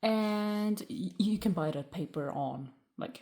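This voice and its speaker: A woman's somewhat breathy voice has a dark, mellow tone and very wide pitch swings. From Germany. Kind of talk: craft tutorial talk to camera. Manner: hesitant, many filler sounds.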